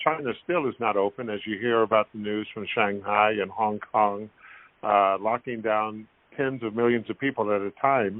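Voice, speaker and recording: A man with a plain, everyday voice talks at a moderate pace. His pitch is fairly low and his intonation fairly even. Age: 60s. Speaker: former basketball player. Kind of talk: interview.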